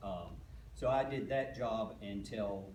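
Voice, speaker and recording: The recording has noticeable background noise and audible room echo. A man speaks with a fairly low voice in a strong East Tennessee accent. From East Tennessee, Knox County (Gibbs community). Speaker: political candidate, funeral director. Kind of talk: candidate speech.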